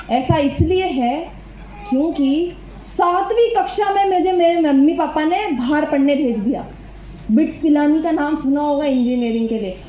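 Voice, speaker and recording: There is noticeable background noise and audible room echo as a woman speaks at a high pitch. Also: lively intonation. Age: 20s. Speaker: motivational speaker at a network marketing seminar. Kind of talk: motivational talk. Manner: animated.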